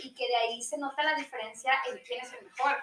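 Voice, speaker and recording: Speaking with a Mexican accent, a woman has a high pitch and ordinary pitch variation. Her pace is moderate. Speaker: podcast guest. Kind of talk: casual chat.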